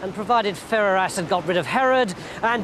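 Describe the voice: The text is simply read aloud. Its pitch shifts an ordinary amount.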